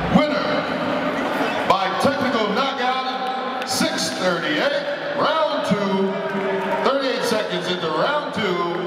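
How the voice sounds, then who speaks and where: Over loud background noise and audible room echo, a man talks at a very slow pace with long, frequent pauses. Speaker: ring announcer. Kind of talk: formal ring announcement. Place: hall.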